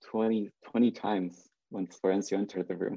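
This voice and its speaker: This man talks at a moderate pace. His pitch sits fairly low. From Mexico (Jalisco, near Lake Chapala). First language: Spanish. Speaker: conceptual artist. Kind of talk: casual interview. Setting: video call. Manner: hesitant, many fillers.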